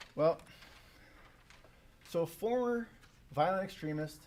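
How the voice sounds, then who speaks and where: In a Canadian accent, a man talks at a fairly quick pace. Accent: Canadian, self-described as goofy. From Canada. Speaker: academic researcher. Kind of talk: conference presentation. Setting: symposium room with live audience. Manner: casual with many fillers.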